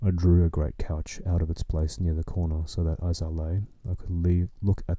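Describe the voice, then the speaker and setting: A man's very deep, low pitch with a dark, mellow tone, somewhat breathy, calm in tone and at a moderate pace. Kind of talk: sleep story reading. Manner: soft, calm.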